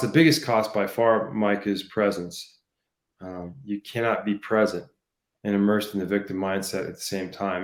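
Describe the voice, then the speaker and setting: This man has an ordinary speaking voice, fairly low in pitch with ordinary pitch variation. He speaks at a moderate pace on a very clean recording with a silent background. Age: 60s. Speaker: leadership coach. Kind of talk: interview. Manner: frequent fillers like um and you know.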